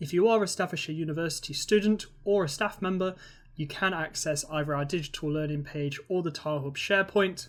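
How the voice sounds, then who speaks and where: The speech comes at a fairly quick pace in a British accent, in a very clean recording with a silent background. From Britain. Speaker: university digital learning tutor. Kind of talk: software tutorial. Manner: casual, with filler words.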